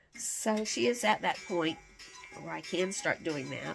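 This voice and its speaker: With music in the background, a woman with a fairly low pitch speaks at a fairly slow pace. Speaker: homesteading vlogger. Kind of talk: casual vlog talk. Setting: indoors at home.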